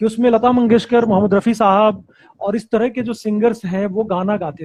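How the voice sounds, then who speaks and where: A man talks at a moderate pace with a high pitch. The sound is dry and close, with no echo. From Bihar. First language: Bajjika / Bhojpuri (speaking Hindi). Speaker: actor. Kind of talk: interview.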